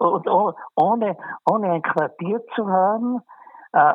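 Very slow delivery with ordinary pitch variation. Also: woman. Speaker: senior interviewee. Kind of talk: personal reminiscence.

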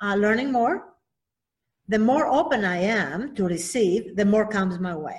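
Somewhat breathy and fairly high in pitch, a woman with a Greek accent speaks at a moderate pace with lively intonation. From Greece (Athens). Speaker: children's book author. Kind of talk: interview.

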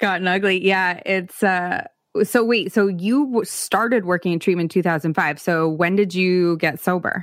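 At a moderate pace, a woman speaks at medium pitch with ordinary pitch variation and very even loudness on a very clean recording with a silent background. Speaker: recovery podcast host. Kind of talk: casual interview conversation. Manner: animated.

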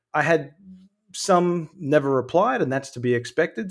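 The recording is very clean and the background silent. A man talks, his pitch moving in an ordinary way. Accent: Australian. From Australia, Sydney. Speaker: filmmaker and UFO researcher. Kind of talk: casual chat.

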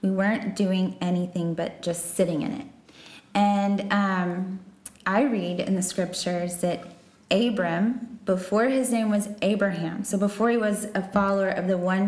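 Someone with an American accent speaks at a fairly slow pace with fairly even intonation, amid audible room echo and noticeable background noise. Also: woman. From Texas. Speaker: missionary. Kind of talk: interview.

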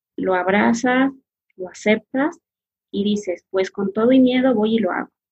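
A woman's somewhat breathy, medium-pitched voice with ordinary pitch variation. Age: 40s. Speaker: massage therapist. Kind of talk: interview, personal life story.

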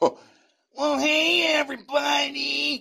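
A man puts on a raspy character voice. He keeps it raised and projected.

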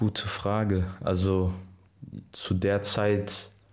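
The man's pitch is fairly low. His voice carries audible room echo. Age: 20s. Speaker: professional footballer. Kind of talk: casual interview.

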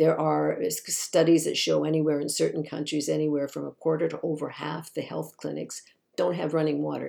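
With a Canadian accent, a woman speaks at a moderate pace. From Canada. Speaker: activist and author. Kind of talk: interview.

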